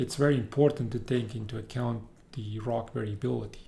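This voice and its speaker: The speaker is a man with a somewhat breathy voice. Room echo is audible. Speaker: university professor. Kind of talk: lecture. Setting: recorded video lecture.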